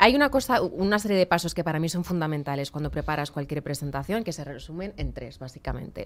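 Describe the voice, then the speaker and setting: At a very fast pace, a woman talks with very wide pitch swings in a fairly low voice. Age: 30s. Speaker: communicator and public speaking trainer; public speaking trainer. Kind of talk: radio interview. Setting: radio/TV studio. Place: studio. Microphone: studio mic.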